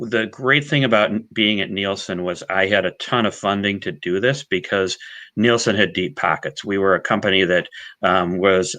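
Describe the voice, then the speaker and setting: Here a man talks in a normal speaking voice at a fairly low pitch, with a moderate pace and ordinary pitch variation. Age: 50s. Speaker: data science executive. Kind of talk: webinar talk and Q&A. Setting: online webinar.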